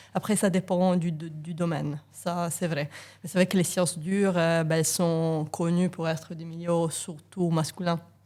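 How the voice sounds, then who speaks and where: On a very clean recording with a silent background, a woman with an Italian accent speaks fairly slowly in a fairly low, dark, mellow voice with monotone, flat intonation. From Italy. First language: Italian (speaking French). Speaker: engineering professor. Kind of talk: casual interview. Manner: hesitant, many fillers.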